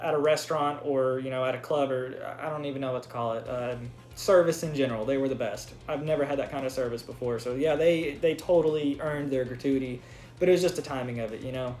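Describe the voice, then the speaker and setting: Very fast speech with fairly even intonation and audible room echo. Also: man, fairly high pitch for a man. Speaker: YouTuber. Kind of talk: casual vlog storytelling.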